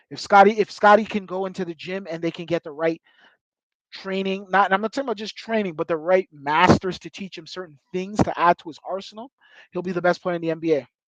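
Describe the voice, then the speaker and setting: Against a quiet background, a man talks at a very fast pace in a high pitch for a man, his animated tone marked by big swings in loudness. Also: dry, close sound with no echo. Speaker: sports commentary youtuber. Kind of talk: casual commentary.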